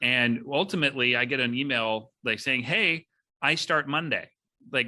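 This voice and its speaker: A man speaks loudly at a moderate pace in a bright, sharp tone, his medium pitch showing ordinary variation over a quiet background. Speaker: podcast host, recruiting executive. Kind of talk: podcast interview.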